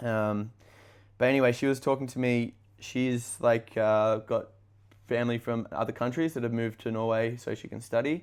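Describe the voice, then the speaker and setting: A man speaks at a medium pitch in a monotone, flat intonation. The recording is very clean, with a silent background. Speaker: podcast host. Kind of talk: casual chat. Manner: fast.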